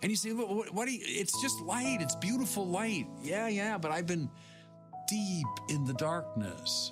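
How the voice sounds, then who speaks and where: With music in the background, a man with a high voice moves at a moderate pace through very wide pitch swings while his loudness stays very even. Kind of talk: Sunday sermon homily. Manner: conversational, earnest preaching.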